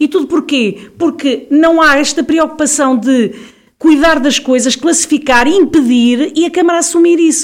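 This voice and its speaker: This woman's voice sits high in pitch. She keeps her intonation fairly even. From Portugal, Viseu. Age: 50s. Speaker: local election candidate. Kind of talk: interview. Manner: halting.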